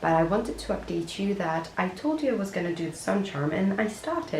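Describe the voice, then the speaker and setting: A woman is speaking. The audio has noticeable background noise and audible room echo. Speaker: crochet content creator. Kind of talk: casual vlog narration. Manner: lower, quieter tone.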